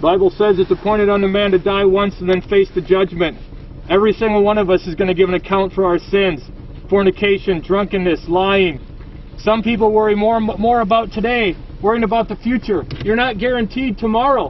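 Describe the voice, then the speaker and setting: At a fairly quick pace, a man speaks with high pitch in a dry sound with no echo over light background noise. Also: fairly even intonation. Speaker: street preacher. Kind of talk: open-air sermon. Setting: inside a car, projected outdoors. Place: car. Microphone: phone near.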